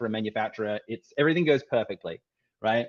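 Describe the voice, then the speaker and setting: Recorded dry and close with no echo, a man speaks with an Australian accent. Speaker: tech startup CEO and co-founder. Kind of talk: presentation. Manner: halting, with many restarts.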